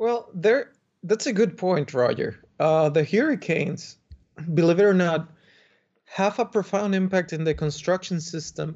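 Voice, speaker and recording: A man with a Spanish accent at a fairly slow pace, showing ordinary pitch variation. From Dominican Republic. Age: young. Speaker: architect. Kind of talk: podcast interview.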